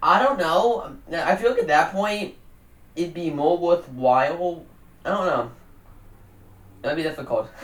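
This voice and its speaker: A man with a high pitch and lively intonation, at a fairly slow pace with long, frequent pauses, against noticeable background noise. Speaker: podcast co-host. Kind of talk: casual chat.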